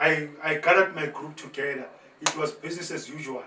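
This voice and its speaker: Noticeable background noise sits behind a man whose pitch shows ordinary variation. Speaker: motivational speaker and former prisoner. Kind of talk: testimony. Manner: animated; repetitive, halting.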